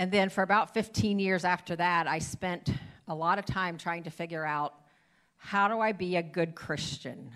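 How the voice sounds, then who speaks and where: In a very clean recording with a silent background, a woman with an unremarkable speaking voice talks at a moderate pace and fairly low pitch, with ordinary pitch variation. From Ohio. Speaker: church member giving sermon. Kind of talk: sermon; guided prayer. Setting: church stage with congregation.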